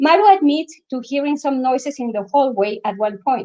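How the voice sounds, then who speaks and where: A high-pitched woman's voice with a strong non-native accent, at a moderate pace. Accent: thick foreign. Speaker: author. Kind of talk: reading aloud. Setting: live online event.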